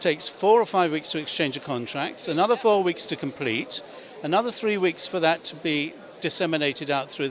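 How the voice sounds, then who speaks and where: With a British accent and a high pitch, a man speaks at a moderate pace, his pitch swinging very widely. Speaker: auctioneer and chairman of a property auction house. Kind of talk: interview answer.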